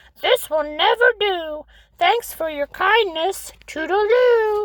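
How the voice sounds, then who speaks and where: A woman's put-on character voice, squeaky and extremely high in pitch. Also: fairly slow pace. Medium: read story. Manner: clipped, chatty, drops the start of sentences.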